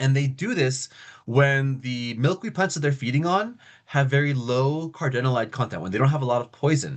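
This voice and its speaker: An animated man at a medium pitch, with ordinary pitch variation and a quiet background. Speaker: lecturer on monarch biology. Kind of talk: lecture. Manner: fast.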